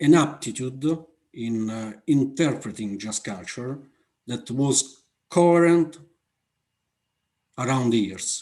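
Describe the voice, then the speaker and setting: A man with an Italian accent speaks at a very slow pace and medium pitch in a dark, mellow tone with ordinary pitch variation. His loudness swings widely, and long pauses come often. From Italy. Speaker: aviation safety manager. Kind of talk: conference Q&A answer. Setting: online conference. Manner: halting, many fillers.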